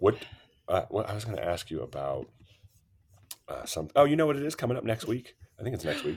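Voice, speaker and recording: Talking at a fairly quick pace, a man with vocal fry makes very wide pitch swings. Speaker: podcast co-host, animal control officer. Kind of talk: casual chat.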